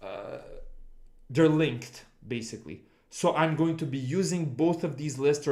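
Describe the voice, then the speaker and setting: With a non-native accent, a man speaks at a moderate pace in a dark, mellow tone, fairly high in pitch. His intonation is fairly even, and room echo is audible. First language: not English. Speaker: game development streamer. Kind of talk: livestream coding tutorial. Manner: halting, with many restarts and fillers.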